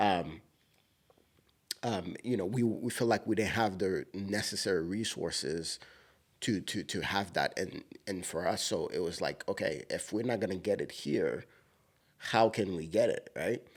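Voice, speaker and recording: A man speaks at a fairly slow pace with a strong Haitian accent, leaving long, frequent pauses, in a very clean recording with a silent background. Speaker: podcast co-host. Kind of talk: casual chat.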